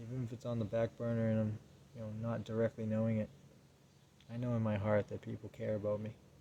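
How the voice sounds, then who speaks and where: A soft-spoken man with a dark, mellow tone, flat monotone intonation and a fairly quick pace. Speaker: vlogger. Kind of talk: personal monologue. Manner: subdued, low-energy.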